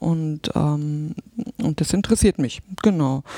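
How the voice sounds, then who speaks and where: At a very slow pace, a woman speaks in a very deep, low pitch with a dark, mellow tone and ordinary pitch variation, the sound dry and close with no echo. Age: 40s. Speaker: social sciences podcaster. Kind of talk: casual interview. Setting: studio. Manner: hesitant, many fillers.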